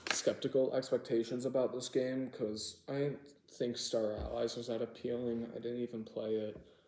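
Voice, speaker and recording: Against noticeable background noise, a man talks at a moderate pace and medium pitch. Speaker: video game reviewer. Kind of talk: casual video commentary. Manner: animated.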